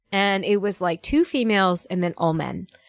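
With an American accent, a woman speaks at a moderate pace and medium pitch, with ordinary pitch variation, in a dry, close sound with no echo. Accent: Southern US, latent. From Northern Virginia, US. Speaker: voice actress. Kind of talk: casual chat. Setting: remote recording over Discord.

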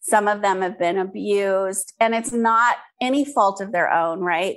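Speaking at a fairly slow pace, a woman has an unremarkable speaking voice with a medium pitch and ordinary pitch variation. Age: 50s. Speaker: skincare entrepreneur. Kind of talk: interview.

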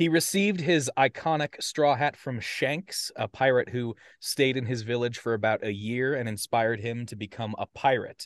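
With an American accent, a man speaks in a normal speaking voice at medium pitch and a moderate pace, with ordinary pitch variation, hardly any pauses, a quiet background and a dry, close sound with no echo. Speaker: podcast co-host presenting a topic. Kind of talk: casual presentation to friends.

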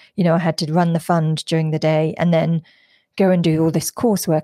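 A woman speaks in a London accent with a dark, mellow tone and monotone, flat intonation. The sound is dry and close, with no echo. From London, England. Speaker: venture capital investor and founder. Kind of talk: interview. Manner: halting, many fillers.

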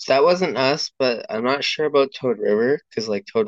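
With a Western Canadian accent, a man talks at a fairly quick pace with ordinary pitch variation. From northern British Columbia, Canada. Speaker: podcast guest, delivery driver. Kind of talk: casual chat. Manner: halting.

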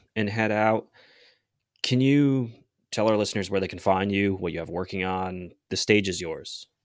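On a very clean recording with a silent background, a man with an American accent uses a plain, everyday voice at a fairly low pitch with ordinary pitch variation. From US Northeast, rural Connecticut. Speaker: podcast co-host. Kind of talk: interview.

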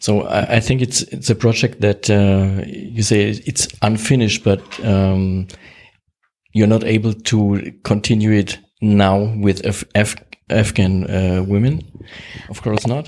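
In a German accent, a man talks at a fairly slow pace, his fairly low voice kept to fairly even intonation. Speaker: podcast host. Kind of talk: interview. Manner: halting.

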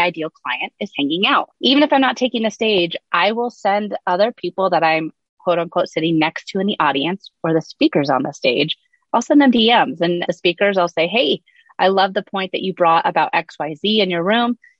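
Here is a normal speaking voice. Its intonation is lively. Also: woman, medium pitch for a woman, moderate pace. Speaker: social media strategist. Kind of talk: casual interview chat.

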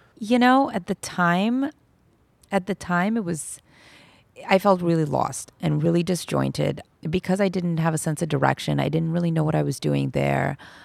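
In a very clean recording with a silent background, a woman speaks at a moderate pace with an American accent. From Los Angeles, US. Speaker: family lawyer. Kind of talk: interview.

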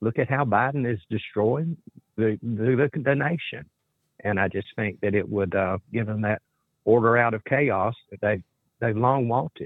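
Speaking at a fairly slow pace, a man uses a medium pitch with ordinary pitch variation in an unremarkable speaking voice. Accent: American. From US South. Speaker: caller. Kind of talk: call-in talk. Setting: phone call.

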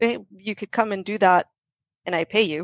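Using a normal speaking voice, a woman talks at a moderate pace with a medium pitch. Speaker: software company regional lead. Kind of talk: casual interview chat. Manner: laughs often.

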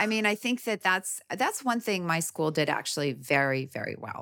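A woman with an American accent has a fairly low voice. Her pitch swings very widely. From Canada, Midwest (prairies). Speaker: gynecologist and author. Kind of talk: interview.

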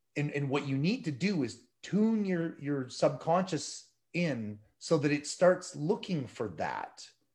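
At a fairly slow pace, a man speaks in a somewhat breathy, fairly high voice with very wide pitch swings. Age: 50s. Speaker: ultramarathon runner and motivational speaker. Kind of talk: interview testimony.

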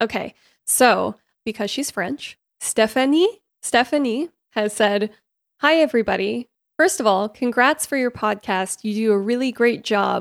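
In a plain, everyday voice with ordinary pitch variation, the speaker goes at a fairly slow pace on a very clean recording with a silent background and a dry, close sound with no echo. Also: woman, fairly high pitch for a woman. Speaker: podcast co-host. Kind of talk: casual chat.

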